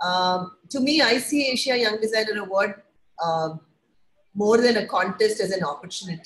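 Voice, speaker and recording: Here a woman speaks at a moderate pace with lively intonation. Her voice is somewhat breathy. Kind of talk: webinar presentation. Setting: online webinar.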